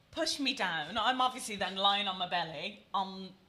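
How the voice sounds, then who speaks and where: Speaking at a fairly slow pace in a British accent, a woman uses a medium pitch with ordinary pitch variation and a bright, sharp tone. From Britain. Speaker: podcast host. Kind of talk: casual chat.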